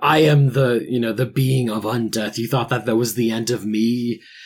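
A man's booming, put-on character voice at medium pitch and a moderate pace

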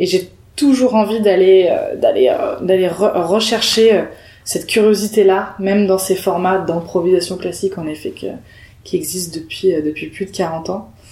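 Noticeable background noise sits behind a woman who speaks fairly slowly with fairly even intonation. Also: medium pitch for a woman. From southern France, Perpignan. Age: 20s. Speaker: improv actress. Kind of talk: casual interview.

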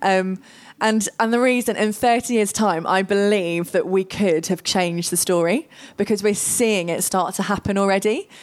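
A woman's ordinary speaking voice, medium in pitch, with ordinary pitch variation, very even loudness and a moderate pace. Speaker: guest speaker. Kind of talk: panel discussion. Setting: stage with audience.

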